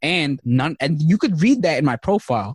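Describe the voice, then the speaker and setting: With a New York accent, a man talks with lively intonation in a dry, close sound with no echo. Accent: New York City English. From Queens, New York City (came from Bangladesh at age three). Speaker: career resource founder and podcast host. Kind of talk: casual interview chat.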